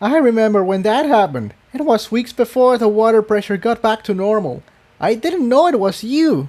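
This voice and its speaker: Using a put-on character voice, a man speaks in a high pitch at a moderate pace. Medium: read story. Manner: lighthearted, theatrical.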